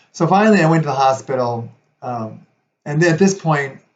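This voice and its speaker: A somewhat breathy man at a moderate pace. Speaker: video blogger sharing chronic illness story. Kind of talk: personal testimony. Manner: hesitant, many fillers.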